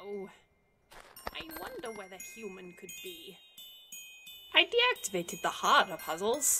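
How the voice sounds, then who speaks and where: In a put-on character voice with a fairly high pitch, the speaker goes at a moderate pace with long, frequent pauses while music plays in the background. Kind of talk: comic dub.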